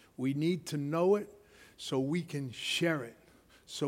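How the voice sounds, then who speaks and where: Animated in tone, a man speaks at a fairly slow pace. His pitch is fairly high with ordinary variation. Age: 60s. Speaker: preacher. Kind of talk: sermon. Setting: church.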